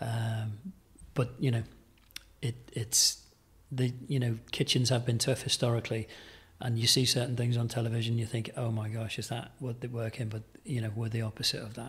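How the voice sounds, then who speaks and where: The voice is somewhat breathy, moving at a moderate pace with monotone, flat intonation. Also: man, medium pitch for a man. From Merseyside, England. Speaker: executive chef. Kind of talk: casual interview chat. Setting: in person at a country hotel. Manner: hesitant, many fillers.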